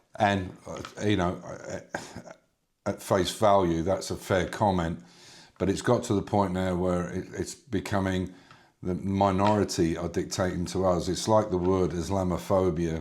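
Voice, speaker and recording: A man's very deep, low voice, fairly slow and monotone, with flat intonation. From London, England (Cockney). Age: 70s. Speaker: retired former marine and oil worker, commentary vlogger. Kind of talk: opinion monologue. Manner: halting, many fillers and restarts.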